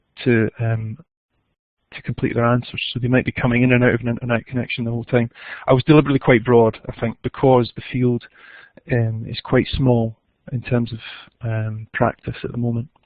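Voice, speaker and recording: A man talks at a fairly quick clip in a flat monotone, broken by long and frequent pauses. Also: medium pitch for a man. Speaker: education researcher. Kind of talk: webinar Q&A. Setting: online webinar. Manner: fast.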